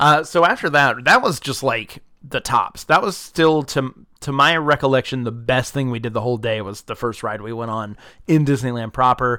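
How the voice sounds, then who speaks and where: A man with an American accent speaks at a medium pitch and a moderate pace, with ordinary pitch variation. His tone is bright and sharp, and the recording is very clean with a silent background. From US South, South Georgia. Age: 30s. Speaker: podcast host. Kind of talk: casual chat. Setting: home. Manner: animated.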